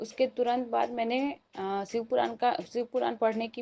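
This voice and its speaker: Here a woman speaks with fairly high pitch. Her tone is dark and mellow. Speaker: devotee sharing testimony. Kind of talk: testimony.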